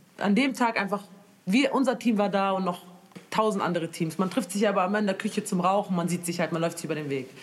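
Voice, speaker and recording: A woman speaks at a fairly quick pace with a medium pitch. She has an unremarkable speaking voice and ordinary pitch variation. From Germany, Moroccan family. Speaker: singer. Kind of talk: casual chat.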